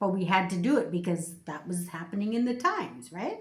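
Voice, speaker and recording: A woman speaks at a moderate pace, her voice somewhat breathy. Audible room echo surrounds the recording. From Canada. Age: 60s. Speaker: YouTuber. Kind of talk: casual chat.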